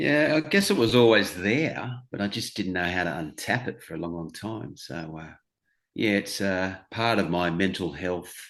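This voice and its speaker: The speaker has an Australian accent and lively intonation at a moderate pace. Loudness swings widely throughout. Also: man, fairly low pitch for a man. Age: 60s. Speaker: stand-up comedian. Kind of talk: interview answer.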